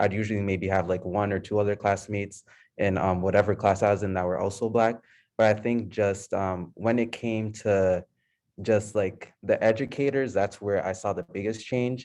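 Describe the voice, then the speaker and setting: An ordinary speaking voice from a man with an American accent, fairly low in pitch, at a moderate pace, with fairly even intonation and a quiet background. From Lowell, Massachusetts. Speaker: college student. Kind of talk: panel discussion.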